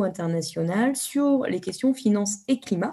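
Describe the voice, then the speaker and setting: In a dark, mellow tone, a somewhat breathy woman speaks at a very slow pace with lively intonation. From France. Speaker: environmental activist, NGO founder. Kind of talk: interview.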